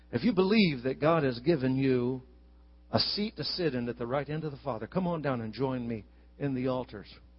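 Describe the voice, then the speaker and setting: Animated and warm, a man talks at a medium pitch and a fairly quick pace. His voice is somewhat breathy, with ordinary pitch variation. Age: 60s. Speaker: visiting preacher. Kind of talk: sermon. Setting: church with congregation.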